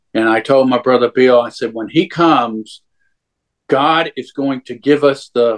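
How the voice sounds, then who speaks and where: A fairly slow delivery in a Southern US accent. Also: man. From Louisiana. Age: 60s. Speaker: churchgoer sharing faith story. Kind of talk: testimony. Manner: halting.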